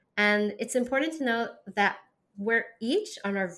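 A woman with a plain, everyday voice, moderate pace and ordinary pitch variation, on a very clean recording with a silent background. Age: 40s. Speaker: podcast host and holistic nutrition practitioner. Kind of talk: solo monologue podcast.

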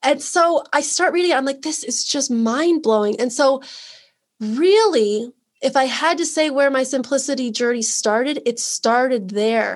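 Speaking at a moderate pace in an American accent, a woman has a high pitch and lively intonation. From US Midwest. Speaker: simplicity coach and former teacher. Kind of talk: interview.

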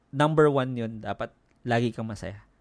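The recording is very clean and the background silent. A man talks at a medium pitch and moderate pace, animated in tone, with ordinary pitch variation. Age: 40s. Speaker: podcaster. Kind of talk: casual chat.

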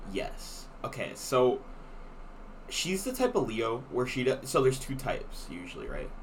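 A man at a moderate pace with audible room echo. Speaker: podcast co-host. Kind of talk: casual chat. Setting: small room with window open.

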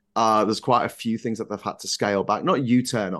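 In a northern English accent, a man speaks at a fairly low pitch with monotone, flat intonation. The background is quiet. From northern England. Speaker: political YouTuber. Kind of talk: casual chat.

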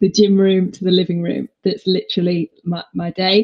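The voice is somewhat breathy and delivered in a flat monotone. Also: woman. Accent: northeast English. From northeast England. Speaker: fitness instructor. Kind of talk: interview.

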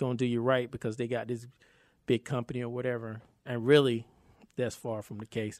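A man with an American accent at a fairly quick pace, in a very clean recording with a silent background. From North Carolina, Raleigh. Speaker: film producer and actor. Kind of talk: casual interview chat.

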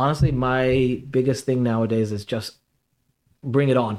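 A man talks in a New York accent. His intonation is fairly even. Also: very clean recording, silent background. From Queens, New York. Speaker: health food store owner. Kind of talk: casual interview.

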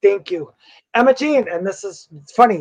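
A man's extremely high voice with an American accent, at a moderate pace. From Wisconsin. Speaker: psychic medium. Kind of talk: casual interview chat; card reading.

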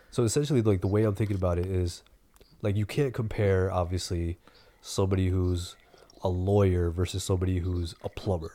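A man with an American accent, very deep, low pitch and dark, mellow tone, at a fairly quick pace with fairly even intonation. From US East Coast. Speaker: podcast co-host. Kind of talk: casual chat.

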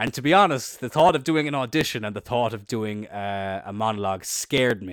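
Against a silent background in a very clean recording, a man with an Irish accent talks fairly quickly at a medium pitch with lively intonation. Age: 20s. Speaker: podcast host. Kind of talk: casual chat, solo podcast monologue. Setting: home recording with a faulty, choppy microphone. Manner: casual, chatty, swears a lot.

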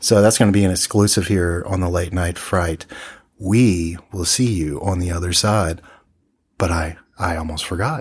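A man with a very deep, low, somewhat breathy voice talks at a moderate pace with fairly even intonation. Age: 40s. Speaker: radio-style horror film podcast host. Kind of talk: casual chat about films.

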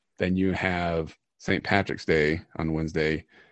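Speaking fairly slowly, a man talks in an American accent. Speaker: podcast host. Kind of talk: casual chat.

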